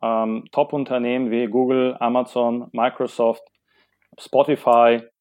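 The man speaks at a medium pitch. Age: 30s. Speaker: product owner in corporate IT operations. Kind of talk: podcast interview. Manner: halting, many filler sounds.

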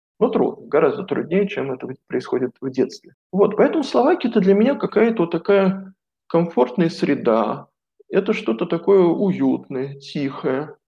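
Very wide pitch swings at a moderate pace. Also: man, high pitch for a man. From Moscow, Russia. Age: 40s. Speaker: coach and philologist, former priest. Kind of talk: interview.

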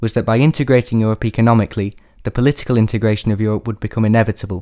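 A man with a Yorkshire accent talks very fast in a dark, mellow tone at medium pitch, his intonation fairly even. The recording is very clean, with a silent background. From northern England, Sheffield, Yorkshire. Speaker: sociology student and musician. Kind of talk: scripted academic presentation.

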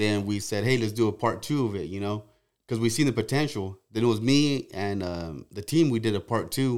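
Against a silent background in a very clean recording, a man with an unremarkable speaking voice talks at a fairly low pitch, with ordinary pitch variation and a moderate pace. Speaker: truck show organizer. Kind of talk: casual chat.

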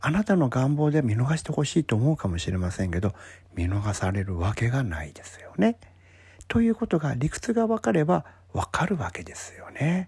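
In a very clean recording with a silent background, a man speaks at a moderate pace and medium pitch, somewhat breathy, his pitch swinging very widely. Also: big swings in loudness. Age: 50s. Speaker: podcast host giving career advice. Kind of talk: solo talk monologue.

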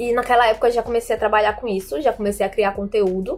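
A woman at a very fast pace, with music in the background. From Brazil, João Pessoa, Paraíba. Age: 20s. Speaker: social media content creator and journalism student. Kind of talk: personal introduction monologue. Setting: home bedroom. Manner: casual, with frequent fillers.

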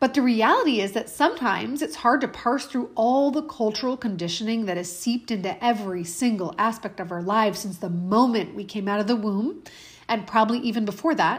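A woman's fairly high, somewhat breathy voice, animated and upbeat in tone, with lively intonation at a fairly quick pace. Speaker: health coach and podcast host. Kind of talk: solo podcast monologue; angry rant, mimicking a frustrated woman's inner voice. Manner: animated, upbeat, conversational; indignant, sarcastic, fired up, sharp and emphatic.

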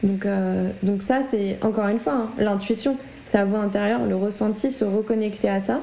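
With audible room echo, a woman speaks at a moderate pace in a dark, mellow tone, her pitch medium with ordinary variation. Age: 20s. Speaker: medium and spiritual guide, entrepreneur. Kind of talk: casual interview.

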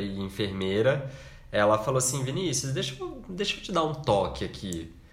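Audible room echo hangs around a man whose intonation is lively. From Brazil, Minas Gerais. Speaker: podcast co-host, architect. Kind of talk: casual chat.

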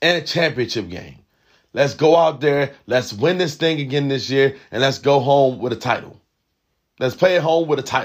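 An animated man at a fairly high pitch and moderate pace, with ordinary pitch variation. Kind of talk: pep talk. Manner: loud, urgent, coach-like, animated; emphatic, repetitive, rallying.

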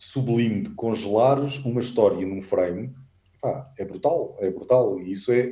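A man's somewhat breathy voice has a dark, mellow tone and lively intonation. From Portugal, Alentejo (Vendas Novas). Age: 40s. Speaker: travel photographer and adventure tour operator. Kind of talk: casual interview chat.

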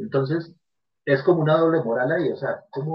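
A man's fairly high-pitched voice at a fairly quick pace, with ordinary pitch variation. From Colombia, Medellín. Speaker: podcast collaborator. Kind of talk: casual chat.

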